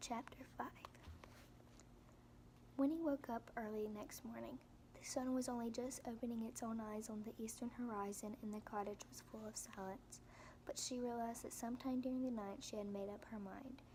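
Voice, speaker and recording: A woman whispers softly. She keeps a moderate pace. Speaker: ASMR reader. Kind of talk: audiobook reading for relaxation. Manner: soft-spoken, whispered.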